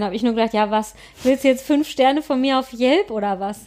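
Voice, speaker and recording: Fairly quick delivery in an unremarkable speaking voice, its pitch varying in an ordinary way. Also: woman. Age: 30s. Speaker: podcast co-host on fertility. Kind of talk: casual chat.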